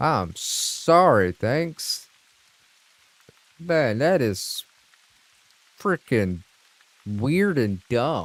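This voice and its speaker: Speaking with a Southern US accent at a very slow pace, a man uses a fairly high pitch with very wide pitch swings and long, frequent pauses. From US South. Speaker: gaming streamer. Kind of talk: casual chat. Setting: live stream.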